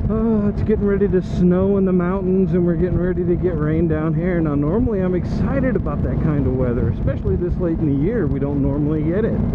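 A man talking at a very fast pace with hardly any pauses, over loud background noise. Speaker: motorcycle commuter vlogger. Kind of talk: casual vlog chat. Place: motorbike. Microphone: helmet.

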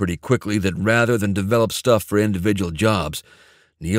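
A natural voice reading aloud, its pitch varying in an ordinary way

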